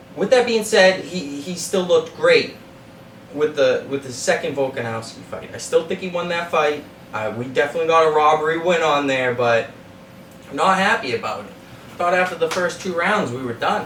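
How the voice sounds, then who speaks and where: A man with a Boston accent and a high pitch speaks at a moderate pace in an animated tone with lively intonation over noticeable background noise. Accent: Boston-area New England. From Massachusetts (Methuen). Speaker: sports betting podcast host. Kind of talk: betting analysis monologue.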